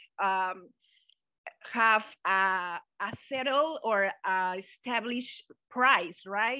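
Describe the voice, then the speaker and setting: A woman with a Mexican accent and ordinary pitch variation. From Mexico. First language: Spanish. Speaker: guest, translator and economist. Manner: halting, searching for words.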